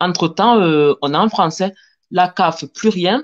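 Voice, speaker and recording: Against a quiet background, a woman with a fairly low pitch speaks at a very slow pace with lively intonation. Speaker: panel guest sharing immigration experience. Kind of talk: testimony.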